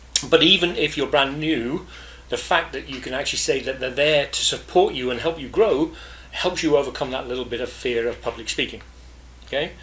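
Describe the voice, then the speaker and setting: A man talks at a very fast pace in a fairly high pitch. Noticeable background noise runs beneath his voice. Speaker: podcast host, business networking coach. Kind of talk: podcast monologue. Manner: casual, with fillers and self-corrections.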